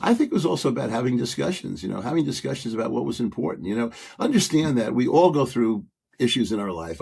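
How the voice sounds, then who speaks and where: This man has a medium pitch and lively intonation. He talks at a fairly quick pace with vocal fry. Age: 70s. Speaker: guest, father and youth coach. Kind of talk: casual chat. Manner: halting, many fillers and restarts.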